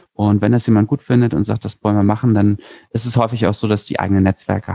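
A man speaks very fast in a dark, mellow tone at fairly low pitch. His intonation stays fairly even, and the sound is dry and close with no echo. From Berlin, Germany. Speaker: lawyer and startup founder. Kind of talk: interview. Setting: remote recording.

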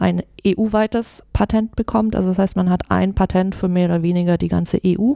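The woman's voice has a dark, mellow tone. No echo is present, and the sound is dry and close. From Swabia, near Stuttgart, Germany. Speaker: patent lawyer, law firm partner. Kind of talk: interview.

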